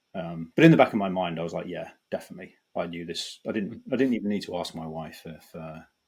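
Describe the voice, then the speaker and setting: Someone with a British accent talks at a very fast pace, with ordinary pitch variation and big swings in loudness. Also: man, very deep, low pitch for a man. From Britain. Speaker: banking data executive. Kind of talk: podcast interview. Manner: halting, many fillers and restarts.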